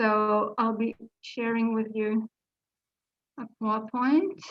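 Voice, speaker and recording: A somewhat breathy woman's voice with a French accent, fairly high in pitch with ordinary variation, at a very slow pace. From France. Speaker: literary translator, panel speaker. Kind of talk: conference presentation. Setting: video conference. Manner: hesitant, many fillers.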